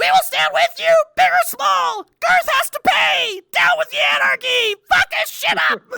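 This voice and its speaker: Shouting in a put-on character voice, the speaker keeps a moderate pace with hardly any pauses. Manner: riling up a crowd, shouting.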